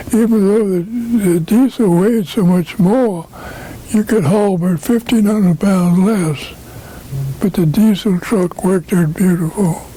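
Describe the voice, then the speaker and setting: Over noticeable background noise, a man with an American accent talks at a fairly slow pace in a high pitch, with ordinary pitch variation and very even loudness. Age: 80s+. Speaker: trucking company founder. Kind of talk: interview answer.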